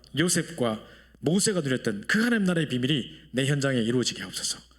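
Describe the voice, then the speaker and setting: Fairly high-pitched and fairly quick, a man speaks with lively intonation amid audible room echo. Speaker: pastor. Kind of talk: prayer; sermon. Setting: church. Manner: fast.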